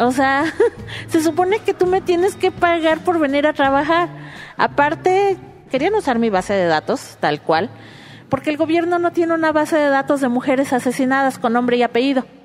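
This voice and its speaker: A woman's high-pitched voice with lively intonation, a moderate pace and very even loudness, over music in the background. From Mexico City. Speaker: activist and data mapper. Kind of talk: interview.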